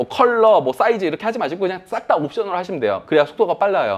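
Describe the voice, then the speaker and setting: This man's pitch swings very widely as he talks. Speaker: online selling instructor. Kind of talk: lecture. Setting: classroom with online attendees. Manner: fast.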